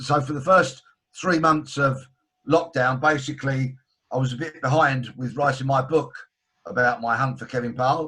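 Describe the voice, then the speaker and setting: A man with a London accent, bright and sharp in tone, with fairly even intonation. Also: medium pitch for a man, moderate pace. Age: 60s. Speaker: author and broadcaster, former detective. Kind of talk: video call interview. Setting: video call.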